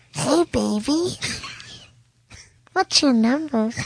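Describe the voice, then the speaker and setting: A female-sounding voice, high in pitch, is delivered as a put-on character voice. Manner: creepy.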